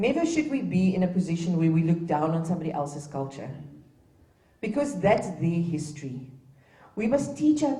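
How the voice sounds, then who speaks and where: With a South African accent, a woman speaks at a medium pitch with very wide pitch swings and a somewhat breathy voice. Her moderate pace carries through audible room echo. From Namibia, Gobabis. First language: Afrikaans. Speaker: dignitary speaker at a heritage event. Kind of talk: ceremonial speech. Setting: public event with live audience.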